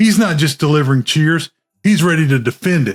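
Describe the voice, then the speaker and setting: An ordinary speaking voice from a man with a fairly high pitch and lively intonation, the sound dry and close with no echo. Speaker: film reviewer. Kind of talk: movie trailer.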